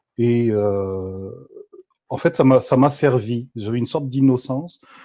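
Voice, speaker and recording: This man's voice sits at a medium pitch with a dark, mellow tone and ordinary pitch variation. The recording is very clean, with a silent background. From France, Paris. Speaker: graduate student and body psychotherapist. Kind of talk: podcast interview.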